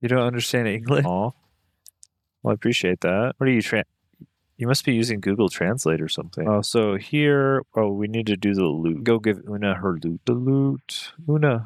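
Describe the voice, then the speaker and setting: This man is soft-spoken, with medium pitch and lively intonation. The sound is dry and close, with no echo. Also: moderate pace. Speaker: gaming streamer. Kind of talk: live gameplay commentary. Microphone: mic a little far away, quiet.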